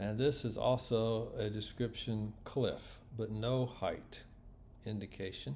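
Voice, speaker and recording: A man's medium-pitched, dark, mellow voice, somewhat breathy, with ordinary pitch variation and a very slow pace. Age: 60s. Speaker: orienteering competitor. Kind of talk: casual video commentary. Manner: casual.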